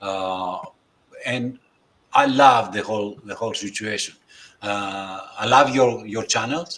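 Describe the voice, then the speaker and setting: Speaking at a very slow pace with long, frequent pauses, a man with a fairly low pitch uses ordinary pitch variation and big swings in loudness. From Greece. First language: Greek. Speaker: astrophotography presenter, community member. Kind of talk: casual group chat on livestream. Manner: halting, hesitant.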